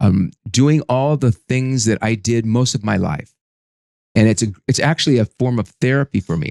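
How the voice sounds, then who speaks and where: The speech comes at a moderate pace with ordinary pitch variation, in a dry, close sound with no echo. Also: man, medium pitch for a man. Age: 60s. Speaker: business consultant and coach. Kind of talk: interview testimony. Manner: halting, with repeated false starts.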